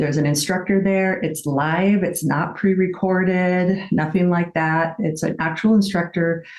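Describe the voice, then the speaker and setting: Here a woman with an unremarkable speaking voice talks at a fairly slow pace and fairly low pitch, with fairly even intonation and hardly any pauses. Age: young. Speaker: fitness instructor and business founder. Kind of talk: class instruction demonstration; interview.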